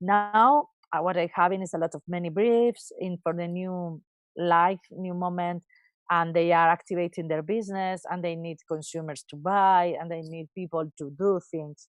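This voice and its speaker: A woman's fairly low voice at a moderate pace, with big swings in loudness, a quiet background and a dry, close sound with no echo. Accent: Spanish. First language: Spanish. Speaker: advertising creative director. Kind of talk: interview. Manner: halting.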